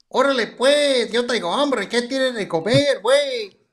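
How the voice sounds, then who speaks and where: Putting on a character voice, a man talks at a moderate pace and an extremely high pitch with ordinary pitch variation. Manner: jokey, teasing.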